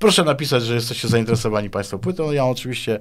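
A man is speaking. His pace is very fast. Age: 50s. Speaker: guitarist and composer; guest. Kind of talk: interview. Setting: studio. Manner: halting, with many repetitions. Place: studio. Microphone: studio mic.

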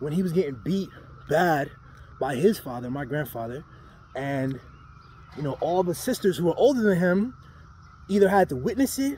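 A man talks at a fairly quick pace. The sound is dry with no echo, and there is light background noise. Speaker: storyteller. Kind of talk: casual vlog storytelling. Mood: earnest, reflective. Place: street. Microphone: phone near.

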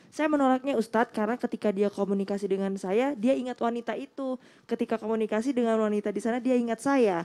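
In a fairly high pitch and a dark, mellow tone, a woman talks at a very fast pace with ordinary pitch variation, the sound dry and close with no echo. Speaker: co-host. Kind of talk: reading aloud viewer questions. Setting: studio.

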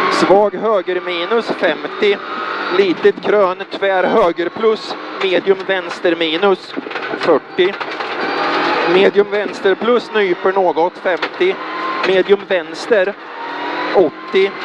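Over loud background noise, the speech comes at a very slow pace with long, frequent pauses and a dry sound with no echo. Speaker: rally co-driver. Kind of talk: rally co-driver reading pacenotes aloud during a stage. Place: car. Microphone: helmet.

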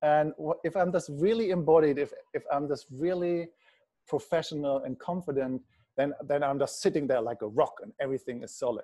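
A man with a fairly high pitch and a dark, mellow tone talks at a fairly quick pace with ordinary pitch variation, the background quiet. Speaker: somatic practitioner leading a webinar; webinar host. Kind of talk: online webinar teaching. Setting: video call. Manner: halting, with fillers and restarts. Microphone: earbuds.

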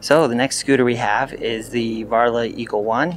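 There is music in the background as a man talks at a moderate pace with fairly even intonation. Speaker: scooter reviewer. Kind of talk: casual vlog chat. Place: garage. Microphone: lapel.

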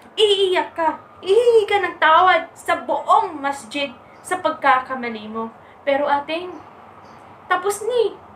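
The voice moves at a fairly slow pace, with a fairly bright tone and lively intonation. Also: woman.

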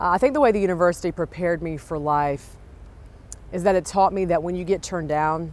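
A woman with an American accent talks at a very fast pace in a fairly low pitch, her pitch varying in an ordinary way, and the sound is dry with no echo. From South Carolina. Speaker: TV news anchor; news anchor. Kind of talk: interview. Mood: reflective, warm. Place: street. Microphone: lapel.

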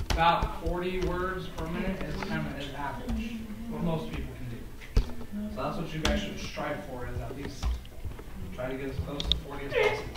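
Music plays in the background, and the room echo is audible. The speech moves at a moderate pace. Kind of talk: casual vlog chat. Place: classroom.

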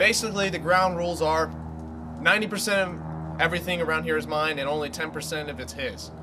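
A man races along at a very fast pace with noticeable background noise behind him. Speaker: comedy sketch actor. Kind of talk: acted comedic monologue. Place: open country. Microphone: camera far.

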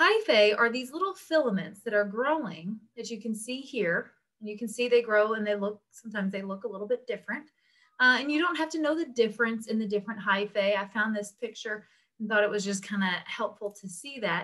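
A woman's bright, sharp voice, fairly quick, with ordinary pitch variation against a quiet background. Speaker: instructor. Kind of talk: lecture. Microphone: webcam.

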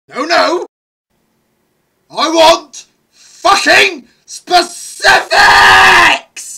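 An extremely high-pitched put-on character voice at a very slow pace, with long, frequent pauses. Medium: dub. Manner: angry, shouting.

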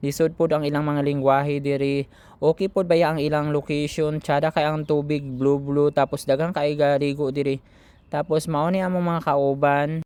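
A man with a Philippine accent speaks at a moderate pace in a fairly high, monotone, flat voice, the sound dry and close with no echo. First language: Cebuano (speaking Tagalog). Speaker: vlogger, overseas Filipino worker. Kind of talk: vlog voice-over. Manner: casual, rambling with fillers.

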